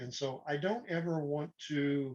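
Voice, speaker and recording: In a relaxed tone, a man speaks at a fairly high pitch. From Oklahoma. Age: 60s. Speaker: retired pilot turned piano upcycler. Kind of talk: casual interview. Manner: relaxed, hesitant with fillers.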